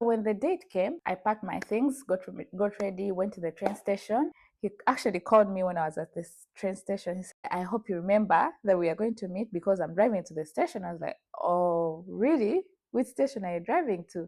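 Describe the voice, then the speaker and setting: A woman with a Ugandan accent speaks fairly quickly at a medium pitch, her tone dark and mellow and her intonation lively. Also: big swings in loudness. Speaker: vlogger. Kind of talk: personal storytelling.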